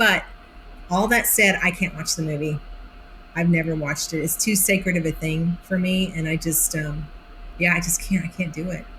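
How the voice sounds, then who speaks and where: A woman with a fairly low pitch talks at a fairly quick pace in an animated tone, with noticeable background noise behind her. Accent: American. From Oklahoma (Idabel). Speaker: actress. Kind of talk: interview.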